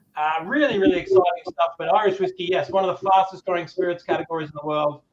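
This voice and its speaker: Very fast male speech with an Australian accent, high pitch and ordinary pitch variation. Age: 40s. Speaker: whiskey brand ambassador. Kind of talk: presentation at a tasting event. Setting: webcam from his room. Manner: enthusiastic.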